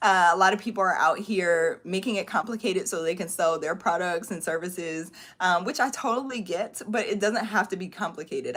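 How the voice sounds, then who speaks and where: The speech runs at a fairly quick pace with hardly any pauses and ordinary pitch variation. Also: woman. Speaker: online course coach. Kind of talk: live stream Q&A. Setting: livestream. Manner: fast; animated.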